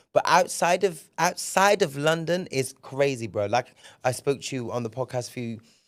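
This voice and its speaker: A man with a southern England accent and a fairly high pitch speaks at a moderate pace with lively intonation. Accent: British English, southern England. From England, Bristol. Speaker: podcast host. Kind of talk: casual solo podcast monologue. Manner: animated, frequent repetitions and hesitations.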